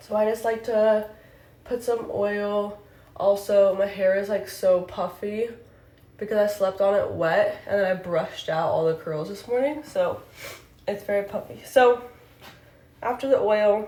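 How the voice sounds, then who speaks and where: A woman speaks at medium pitch and a fairly slow pace, with ordinary pitch variation. Long, frequent pauses and audible room echo mark the clip. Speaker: beauty content creator. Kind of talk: tutorial. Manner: out of breath.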